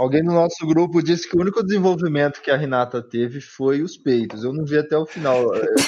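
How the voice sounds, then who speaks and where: Amid noticeable background noise, a man talks at a fairly quick pace and fairly high pitch, with ordinary pitch variation and hardly any pauses. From Brazil, Brasília. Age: 30s. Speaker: podcast co-host. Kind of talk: casual chat.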